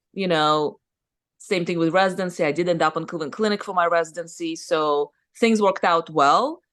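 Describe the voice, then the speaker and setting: A woman with a Russian accent speaks at a fairly quick pace and a fairly low pitch. Her intonation is fairly even, and the background is quiet. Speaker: surgeon and business owner. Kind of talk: podcast interview. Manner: casual, conversational.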